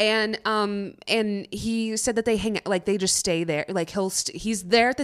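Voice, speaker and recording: Her pitch is medium for a woman. She is the one talking. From San Diego, moved to Texas at 13. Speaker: actress. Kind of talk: casual chat. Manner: laughing often.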